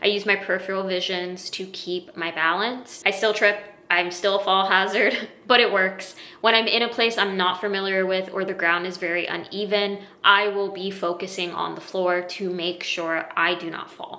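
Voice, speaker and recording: Noticeable background noise behind a woman at medium pitch, moderate in pace, with monotone, flat intonation. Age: 30s. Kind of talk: personal explainer talk to camera.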